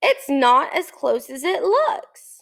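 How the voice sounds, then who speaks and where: A woman's put-on character voice, gruff and extremely high-pitched, with very wide pitch swings. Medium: read story. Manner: grunting, gruff.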